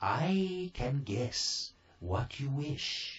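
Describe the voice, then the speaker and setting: A man performs a put-on character voice at a fairly high pitch. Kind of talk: bedtime story. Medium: read story. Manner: kindly, brisk.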